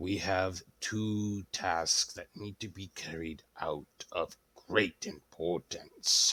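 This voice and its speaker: A man puts on a raspy character voice at a fairly low pitch, speaking very slowly with big swings in loudness. The sound is dry and close, with no echo. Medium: actual play. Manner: formal, authoritative.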